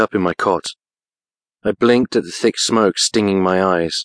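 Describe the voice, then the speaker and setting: Over a quiet background, a man speaks in a fairly low pitch at a moderate pace. The sound is dry and close with no echo, and his intonation is fairly even. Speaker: audiobook narrator. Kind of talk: dramatic first-person audiobook narration of a fantasy thriller. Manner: urgent, breathless, tense, rising with panic and fear; emotionally charged, halting in short clipped bursts.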